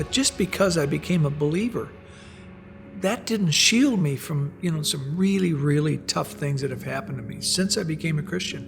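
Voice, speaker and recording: Music plays in the background as a man with a fairly high pitch speaks with lively intonation. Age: 70s. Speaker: professional investor. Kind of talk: testimony.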